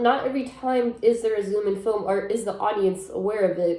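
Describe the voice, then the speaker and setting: A woman with a fairly high voice speaks in an animated tone over noticeable background noise. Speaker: film critic. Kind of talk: casual talk to camera. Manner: chatty, animated.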